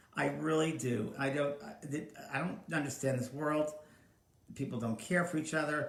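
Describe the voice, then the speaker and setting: At a moderate pace, a man with an American accent speaks in a fairly high pitch with ordinary pitch variation, and audible room echo surrounds him. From New York. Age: 60s. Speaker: psychic medium and livestream host. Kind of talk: casual live stream chat. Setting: home live stream, alone. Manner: animated.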